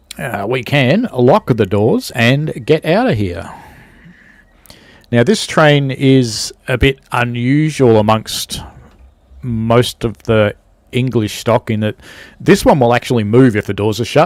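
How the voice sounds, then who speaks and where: A man with a medium pitch and ordinary pitch variation speaks at a very slow pace, leaving long, frequent pauses. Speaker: train simulator streamer. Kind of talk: gameplay livestream commentary. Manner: soft-spoken; casual. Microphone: very close to mic, gain cranked.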